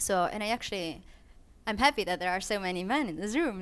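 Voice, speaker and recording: Ordinary pitch variation marks this voice with a non-native accent, captured on a very clean recording with a silent background. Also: woman. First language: not English. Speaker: filmmaker. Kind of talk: panel discussion. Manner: halting, many fillers and restarts.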